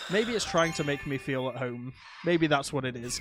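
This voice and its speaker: A man speaks with a British accent and ordinary pitch variation. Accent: UK. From UK. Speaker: gaming streamer. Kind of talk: live gameplay commentary. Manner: animated.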